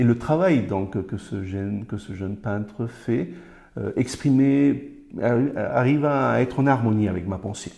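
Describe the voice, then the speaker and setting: A man speaks in a normal speaking voice at medium pitch, with ordinary pitch variation. His pace is fairly slow. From Colombia. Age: 50s. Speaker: Spanish teacher. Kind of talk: interview answer.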